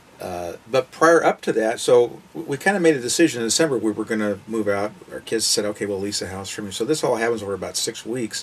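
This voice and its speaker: At a very fast pace and medium pitch, a man talks with hardly any pauses. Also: lively intonation. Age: 60s. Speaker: retired full-time RVer and part-time insurance agent. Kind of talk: interview.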